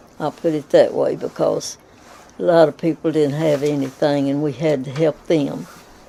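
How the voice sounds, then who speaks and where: Pitched very deep and low, a woman's voice keeps fairly even intonation. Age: 90s. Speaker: elderly woman telling her life story. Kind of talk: oral history interview. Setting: at home. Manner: halting, with many fillers.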